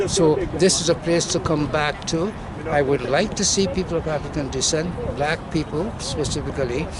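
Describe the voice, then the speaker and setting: A man talks at a moderate pace in a fairly high pitch with ordinary pitch variation. Noticeable background noise runs underneath. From Guyana. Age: 80s+. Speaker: community activist. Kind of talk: speech at birthday celebration. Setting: outdoors at track and field centre. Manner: formal.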